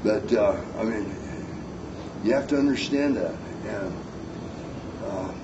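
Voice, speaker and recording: A man speaks with lively intonation. The room echo is audible, and there is noticeable background noise. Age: 60s. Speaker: knifemaker giving a seminar. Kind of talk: seminar talk with audience questions. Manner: casual, folksy with fillers.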